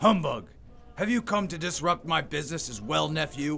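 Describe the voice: A man puts on a character voice, fairly high-pitched, with a bright, sharp tone and vocal fry. His intonation is lively and his pace moderate.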